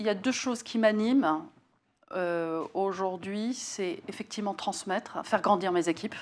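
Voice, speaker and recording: On a very clean recording with a silent background, a woman talks at a fairly slow pace and medium pitch with ordinary pitch variation. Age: 60s. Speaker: facilities and workplace services executive. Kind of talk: interview. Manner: hesitant, many fillers.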